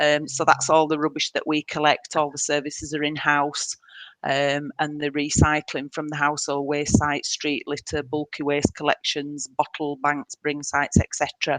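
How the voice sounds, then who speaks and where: Against a quiet background, a woman with a northern English accent talks at a moderate pace in a very deep, low, monotone voice with hardly any pauses, recorded with a dry, close sound with no echo. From northern England, Leeds. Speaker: council waste services manager. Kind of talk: webinar presentation. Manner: hesitant, many fillers.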